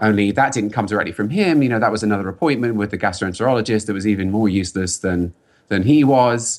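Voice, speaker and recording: A man with a London accent talks at a very fast pace in a fairly low pitch. His pitch variation is ordinary, and the recording is very clean with a silent background. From England, London. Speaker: software engineer and pro cyclist. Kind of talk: podcast interview.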